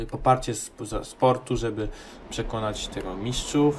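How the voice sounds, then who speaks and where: Somewhat breathy, a man with a medium pitch talks at a moderate pace. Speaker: gaming video creator. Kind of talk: let's play commentary. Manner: casual, hesitant with fillers.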